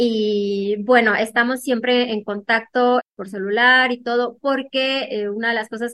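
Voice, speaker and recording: A woman speaks with an unremarkable speaking voice. Her pitch is fairly high, with ordinary pitch variation. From Mexico, Hermosillo, Sonora. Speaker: literature graduate student. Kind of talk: interview.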